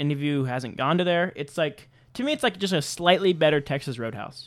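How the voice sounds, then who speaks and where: A man speaks with a fairly high pitch. He has an ordinary speaking voice with ordinary pitch variation. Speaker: podcast host. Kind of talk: casual chat.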